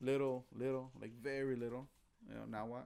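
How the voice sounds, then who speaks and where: A man speaks at a moderate pace. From US (grew up in the projects). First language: Spanish. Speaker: guest co-host. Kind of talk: casual chat. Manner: halting, many fillers and repeated words.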